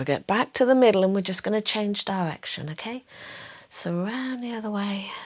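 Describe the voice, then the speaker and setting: A woman with a Somerset accent speaks at a fairly quick pace in a calm, gentle tone, her medium pitch showing ordinary variation while her loudness swings widely. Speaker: pilates instructor. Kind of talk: guided exercise class.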